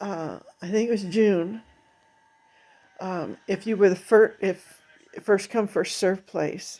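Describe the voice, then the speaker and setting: At a very slow pace with long, frequent pauses, a woman speaks in a medium pitch with monotone, flat intonation. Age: 70s. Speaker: video diarist. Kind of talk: personal testimony monologue. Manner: halting, many fillers.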